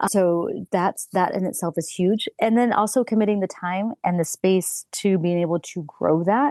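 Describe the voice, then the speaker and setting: At a medium pitch, a woman speaks at a moderate pace with hardly any pauses, a dark and mellow tone and ordinary pitch variation, in a dry, close sound with no echo over a quiet background. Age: 40s. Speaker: personal trainer. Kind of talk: podcast interview.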